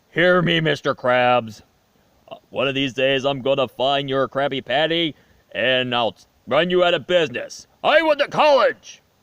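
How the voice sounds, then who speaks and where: A cartoonish character voice delivers the lines at a moderate pace. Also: man, fairly high pitch for a man. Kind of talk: cartoon impression. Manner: scheming, bombastic.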